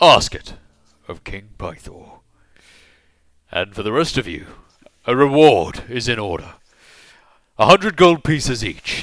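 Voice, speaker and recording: A man speaks in a booming, put-on character voice at medium pitch and a moderate pace, with long, frequent pauses. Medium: actual play. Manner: loud, hearty, self-aggrandizing.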